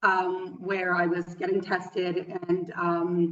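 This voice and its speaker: A woman with a western Canadian accent. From western Canada. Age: 30s. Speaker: yoga teacher. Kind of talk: interview. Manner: halting, many fillers.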